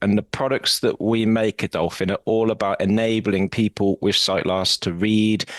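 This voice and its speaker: In a British accent, the speaker talks at a fairly quick pace with monotone, flat intonation, in a dry, close sound with no echo over a quiet background. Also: man. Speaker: assistive technology company executive. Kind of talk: podcast interview.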